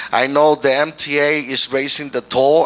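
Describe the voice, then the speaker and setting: A man's fairly high voice with a Puerto Rican accent, set against noticeable background noise. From Puerto Rico. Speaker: mayoral candidate, pastor and community leader. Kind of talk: political forum interview. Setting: stage with audience. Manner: halting, with self-corrections.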